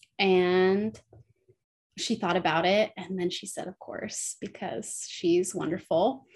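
Speech comes at a very slow pace with an American accent and ordinary pitch variation. The loudness swings widely from moment to moment. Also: woman, medium pitch for a woman. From California, South Lake Tahoe. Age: 30s. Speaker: midwife. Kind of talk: interview conversation.

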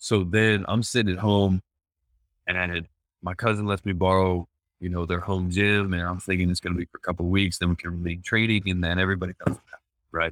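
Recorded dry and close with no echo, a man talks fairly quickly in a very deep, low pitch and a monotone, flat intonation. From Pennsylvania, US East Coast. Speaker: professional volleyball player. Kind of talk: casual interview. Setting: remote call from abroad.

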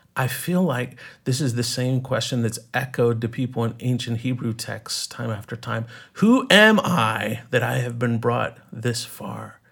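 Speaking at a fairly slow pace with fairly even intonation, a man with a plain, everyday voice and an American accent keeps to a medium pitch on a very clean recording with a silent background. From East Texas. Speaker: writer and film teacher. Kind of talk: interview conversation.

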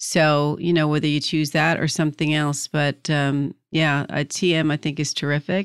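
A woman with an American accent, very deep and low pitch, monotone flat intonation, very even loudness, moderate pace with hardly any pauses, a dry close sound with no echo, and a very clean recording over a silent background. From New Jersey. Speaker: podcast host, career coach. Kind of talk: interview.

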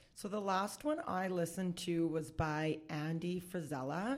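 With a Canadian accent, a woman has an ordinary speaking voice, a fairly low pitch and a fairly slow pace. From Saskatchewan, Canada (Saskatoon). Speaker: bookkeeper and business consultant. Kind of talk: casual interview chat. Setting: in person across a boardroom table.

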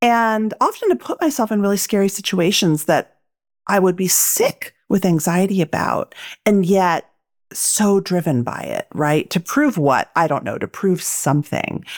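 In an ordinary speaking voice of medium pitch, a woman speaks at a fairly slow pace with lively intonation, on a very clean recording with a silent background and a dry, close sound with no echo. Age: 40s. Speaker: author and podcast host. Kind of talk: interview.

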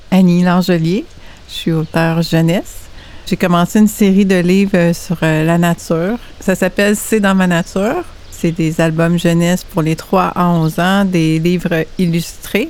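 Fairly slow, fairly low speech from a woman with a Quebec accent, with fairly even intonation, very even loudness and noticeable background noise. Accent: Québécois French. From Quebec, Saint-Hyacinthe (Montérégie). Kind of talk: casual chat. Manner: halting.

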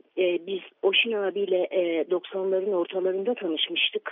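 A woman at medium pitch, speaking at a moderate pace. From Istanbul, Diyarbakır family. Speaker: writer. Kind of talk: remembrance interview.

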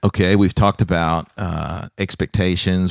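On a very clean recording with a silent background, a man speaks at a fairly quick pace in a very deep, low pitch. His intonation is monotone and flat, and the sound is dry and close with no echo. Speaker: pastor and podcast host. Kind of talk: casual interview chat. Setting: studio, office. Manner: warm, laughing.

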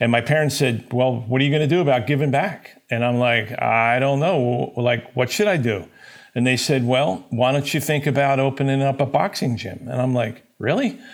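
Using an ordinary speaking voice, a man with an American accent talks at a moderate pace and medium pitch. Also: ordinary pitch variation. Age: 60s. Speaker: company president. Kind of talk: business interview.

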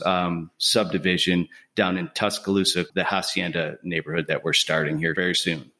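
This man's voice is very deep and low, with a bright, sharp tone and a northern US accent. The recording is very clean, with a silent background. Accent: non-Southern, northern US. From Buffalo, New York. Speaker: home builder. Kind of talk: casual interview.

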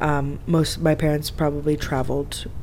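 With an American accent, a woman talks amid noticeable background noise and audible room echo. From Florida. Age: 20s. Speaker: expat interviewee. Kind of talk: casual interview. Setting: in person, Cairo.

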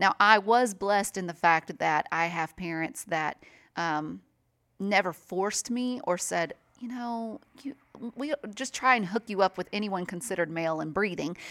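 A woman in a Southern US accent, medium in pitch, with lively intonation and a moderate pace. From US South, mainly Nashville, Tennessee. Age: 30s. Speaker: radio host. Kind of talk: casual interview.

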